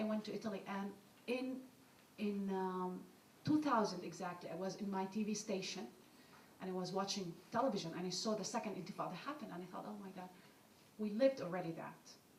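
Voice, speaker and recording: A woman talks at a very fast pace with ordinary pitch variation. The room echo is audible, and the background noise is noticeable. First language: Arabic. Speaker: author and journalist. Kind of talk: panel discussion, personal account.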